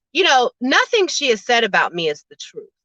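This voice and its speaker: A woman speaks in a raised, projected voice with a bright, sharp tone and very wide pitch swings at a moderate pace. The sound is dry and close, with no echo. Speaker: YouTube livestreamer. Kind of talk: casual chat. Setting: live stream. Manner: loud.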